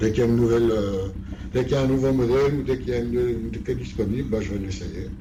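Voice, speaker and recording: Audible room echo and noticeable background noise surround a man talking at a very fast pace. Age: 60s. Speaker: motorcyclist. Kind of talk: interview. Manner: halting.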